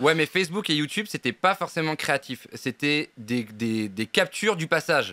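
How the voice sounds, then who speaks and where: The tone is bright and sharp, with lively intonation at a moderate pace and hardly any pauses. The sound is dry and close with no echo, on a very clean recording with a silent background. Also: man, fairly high pitch for a man. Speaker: interviewer, show host. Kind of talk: live show interview questions.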